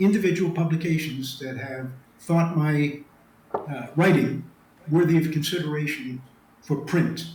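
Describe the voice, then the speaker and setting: Speaking at a fairly slow pace, a man has a fairly high pitch and fairly even intonation. Noticeable background noise and audible room echo fill the recording. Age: 70s. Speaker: retired special forces officer and author. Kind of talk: interview. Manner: hesitant, many fillers.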